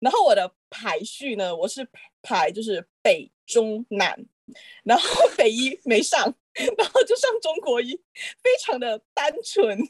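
A woman with a high pitch speaks at a very slow pace, her pitch swinging very widely. The sound is dry and close, with no echo. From Malaysia. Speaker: pharmacy graduate. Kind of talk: casual chat.

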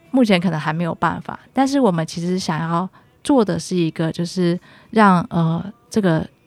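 A woman talks at a moderate pace with a fairly low pitch and ordinary pitch variation. The sound is dry and close with no echo, with music in the background. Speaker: infectious disease physician. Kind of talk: radio interview. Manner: formal.

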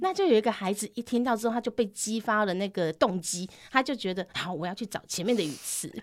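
The voice runs at a very fast pace with hardly any pauses and ordinary pitch variation. Noticeable background noise sits underneath. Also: woman, fairly high pitch for a woman. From Taiwan, Tainan. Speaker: Taiwanese language teacher. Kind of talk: casual interview chat.

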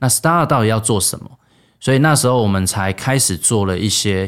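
A man's fairly low voice with ordinary pitch variation on a very clean recording with a silent background. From Taiwan. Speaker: startup founder and CEO. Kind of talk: interview.

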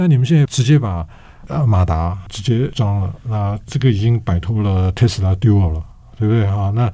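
Fairly low in pitch, this man's voice has a dark, mellow tone and is somewhat breathy. He speaks at a moderate pace. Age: 60s. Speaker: radio host and professor. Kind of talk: interview podcast.

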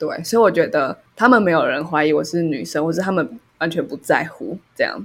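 A woman in a normal speaking voice talks at a fairly low pitch and a fairly quick pace, with lively intonation and hardly any pauses. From Taiwan, Taipei. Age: 20s. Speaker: podcast co-host. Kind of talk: casual chat.

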